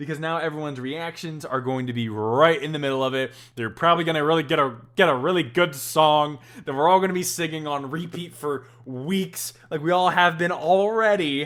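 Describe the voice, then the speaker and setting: A man speaks at a fairly quick pace in an animated tone. His pitch is fairly high, with ordinary pitch variation. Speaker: podcast host, author. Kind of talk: casual commentary podcast. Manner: loud, animated.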